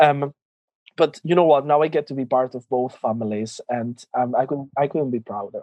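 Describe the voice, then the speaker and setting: A man speaks with a Spanish accent at a fairly high pitch. His pitch variation is ordinary. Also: moderate pace. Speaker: drag queen. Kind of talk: interview. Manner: halting.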